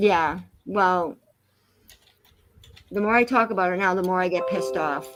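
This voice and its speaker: Music plays behind a woman of medium pitch who speaks with a Massachusetts accent. Her intonation is lively, broken by long, frequent pauses. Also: moderate pace. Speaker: live streamer. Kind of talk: casual chat. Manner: animated.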